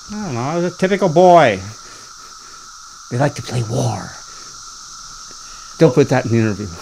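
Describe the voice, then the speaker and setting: Over noticeable background noise, a man with an American accent talks fairly quickly in a fairly high pitch, with very wide pitch swings, big swings in loudness, and long, frequent pauses. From Ohio, Canton. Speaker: farmer. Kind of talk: oral history interview.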